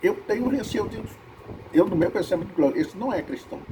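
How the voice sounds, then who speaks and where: A man's voice at a moderate pace with very wide pitch swings, over noticeable background noise. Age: 80s+. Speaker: preacher. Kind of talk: sermon.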